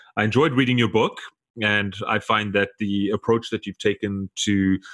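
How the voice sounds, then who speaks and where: Recorded dry and close with no echo, a man with a South African accent talks at a fairly quick pace. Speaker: podcast host. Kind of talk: interview conversation.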